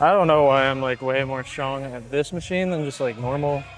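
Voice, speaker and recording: Music plays in the background as the speaker moves at a fairly quick pace. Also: man. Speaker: fitness vlogger. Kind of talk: gym vlog. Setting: gym. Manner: fast.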